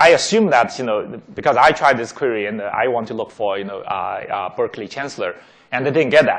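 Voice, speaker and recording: At a fairly quick pace, a man speaks with big swings in loudness against a quiet background. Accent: non-native. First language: not English. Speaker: tech executive giving a talk. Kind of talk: lecture. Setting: auditorium with audience. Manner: many fillers and repetitions.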